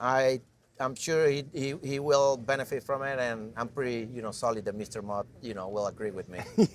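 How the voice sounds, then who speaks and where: Moderate speed, medium pitch and ordinary pitch variation in a man's ordinary speaking voice. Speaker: jockey. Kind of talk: interview answer.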